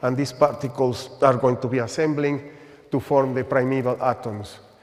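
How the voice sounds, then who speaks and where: Noticeable background noise runs behind the speaker. A man at medium pitch talks at a moderate pace. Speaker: astronomer giving a talk. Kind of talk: lecture. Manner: halting.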